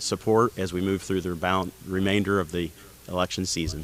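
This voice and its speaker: Very deep, low male voice in a Midwestern American accent, flat monotone intonation, moderate pace. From Indiana. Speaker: county council candidate. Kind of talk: candidate forum statement.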